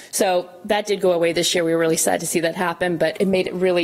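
The woman's fairly low voice holds a fairly even intonation while noticeable noise runs in the background. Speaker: ski club president. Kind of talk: presentation.

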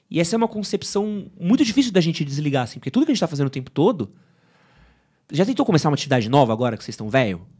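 Speaking very fast with vocal fry, a man has a dark, mellow tone and a fairly high pitch. His pitch swings very widely and his loudness swings a lot, over a quiet background. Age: 30s. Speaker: men's fashion and style presenter; presenter. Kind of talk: casual chat. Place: studio. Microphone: studio mic.

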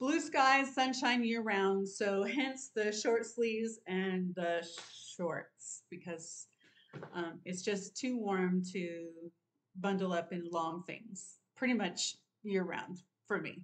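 A woman at a very slow pace with ordinary pitch variation. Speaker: sewing vlogger. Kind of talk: casual vlog chat. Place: home room. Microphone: webcam.

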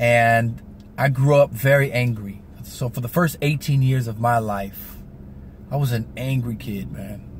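Somewhat breathy and fairly slow, a man talks with fairly even intonation over light background noise. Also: dry sound with no echo. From US West Coast (San Diego, California); California. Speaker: vlogger giving motivational talk. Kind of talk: motivational vlog monologue. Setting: in a car. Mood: reflective, earnest. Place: car. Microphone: phone near.

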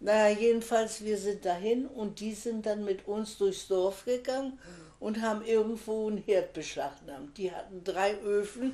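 A woman speaks at a moderate pace with a medium pitch and a dark, mellow tone. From Pomerania (now Poland). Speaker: contemporary witness, retired teacher; witness, retired teacher. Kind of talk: oral history interview. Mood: reflective storytelling. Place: home room. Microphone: camera far.

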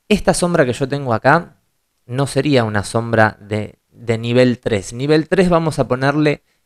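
Very slow speech with lively intonation over a quiet background. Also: man. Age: 30s. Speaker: photo retoucher and tutorial creator; photo retouching tutor. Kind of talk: tutorial. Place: home room.

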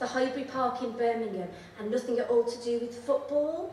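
A woman talks very fast at a high pitch with ordinary pitch variation, with audible room echo and light background noise. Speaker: poet. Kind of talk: poetry reading with chatty, humorous intros. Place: stage.

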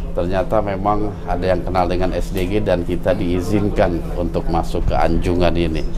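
A man's very deep, low voice at a fairly slow pace, over noticeable background noise. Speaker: vlog host. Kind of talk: casual vlog chat. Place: boat. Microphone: lapel.

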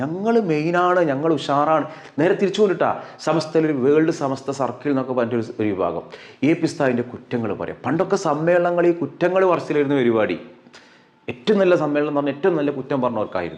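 A man with an ordinary speaking voice, fairly high in pitch with lively intonation. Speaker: online commentator. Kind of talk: opinion commentary.

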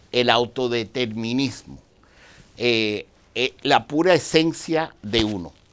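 Ordinary pitch variation at a very slow pace. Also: man, medium pitch for a man. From outside Dominican Republic. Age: 60s. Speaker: Dianetics practitioner; guest. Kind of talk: interview. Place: studio.

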